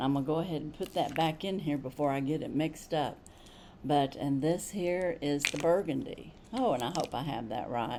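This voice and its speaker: A woman speaks with a very deep, low pitch and a dark, mellow tone. Her pace is fairly quick, and her pitch variation is ordinary. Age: 60s. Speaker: beauty vlogger. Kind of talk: makeup tutorial. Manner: casual, chatty.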